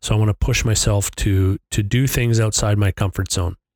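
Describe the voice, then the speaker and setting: At a moderate pace, a man with a plain, everyday voice and fairly low pitch speaks with a dry, close sound with no echo. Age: 50s. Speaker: podcast host. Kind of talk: solo monologue. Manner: casual, with filler words.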